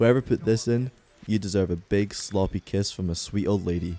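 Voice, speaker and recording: A man speaks at a fairly low pitch with ordinary pitch variation. Noticeable background noise runs beneath him. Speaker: video game reviewer. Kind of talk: scripted narration.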